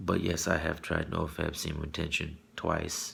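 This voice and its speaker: Here is a man speaking. His voice is somewhat breathy. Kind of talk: personal confession to camera. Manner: hesitant, halting.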